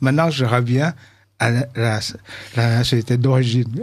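A man with a Vietnamese accent speaks in a somewhat breathy voice. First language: Vietnamese (speaking French). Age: 70s. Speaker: composer; radio guest. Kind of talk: radio interview. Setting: studio. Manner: halting. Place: studio. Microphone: studio mic.

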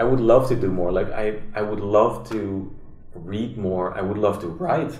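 Room echo is audible here. A man speaks at a fairly low pitch. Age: 30s. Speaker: musician; podcast guest. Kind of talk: casual chat. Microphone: camera far.

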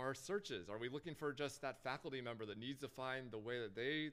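This man has an ordinary speaking voice at medium pitch, with ordinary pitch variation. His pace is fairly quick. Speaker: agency consultant presenting sponsor talk. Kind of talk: conference presentation with Q&A. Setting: stage with audience.

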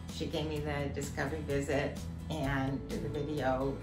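Over clearly audible background music, a woman talks at a rather unhurried pace. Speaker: patient giving testimonial. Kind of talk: patient testimonial interview. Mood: warm, cheerful. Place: office.

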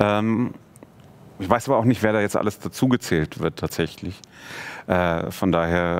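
A man with a fairly low pitch, at a moderate pace with ordinary pitch variation and long, frequent pauses. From Munich, Germany. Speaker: film director; guest. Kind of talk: casual interview. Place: studio.

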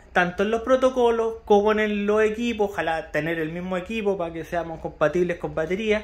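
Speaking with a Chilean accent, a man talks at a fairly quick pace in a high pitch with lively intonation. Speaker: radio hobbyist youtuber. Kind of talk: tutorial. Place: home room. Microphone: phone near.

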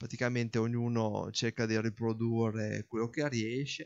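With a monotone, flat intonation, a man talks at a fairly slow pace against a quiet background. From northern Italy, Parma province; northern Italy. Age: 40s. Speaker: hobby farmer and office worker. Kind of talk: casual explanatory monologue; casual explanatory vlog chat. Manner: halting, with repetitions. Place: garden. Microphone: non-professional recording equipment; phone near.

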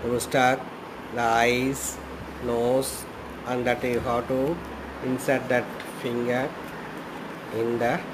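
A man speaks in a monotone with flat intonation. He goes at a very slow pace over noticeable background noise. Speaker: craft teacher. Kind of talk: tutorial. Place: home room. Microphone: phone near.

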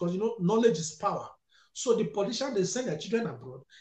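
Against a quiet background with audible room echo, a man speaks in a dark, mellow tone with lively intonation. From Nigeria, Delta State; Nigeria. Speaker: security analyst, activist; security analyst. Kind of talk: political discussion. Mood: passionate, critical. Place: home room. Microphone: headset.

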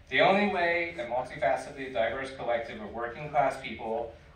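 Speaking at a moderate pace with ordinary pitch variation, a man is heard with audible room echo and light background noise. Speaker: community organizer and panel moderator. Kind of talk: panel discussion. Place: hall. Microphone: camera far.

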